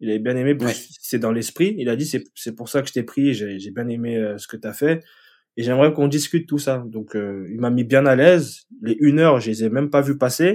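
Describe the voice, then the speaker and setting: In a very clean recording with a silent background, a man with a plain, everyday voice speaks at a medium pitch and a fairly quick pace, with ordinary pitch variation and big swings in loudness. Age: 30s. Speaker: web developer. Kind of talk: casual interview.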